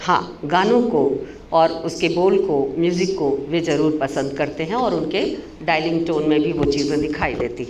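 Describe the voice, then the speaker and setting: The room echo is audible. Background noise is noticeable. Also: woman, very deep, low pitch for a woman, ordinary pitch variation. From India, Kolkata (West Bengal). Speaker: professor. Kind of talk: seminar lecture. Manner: halting, with fillers.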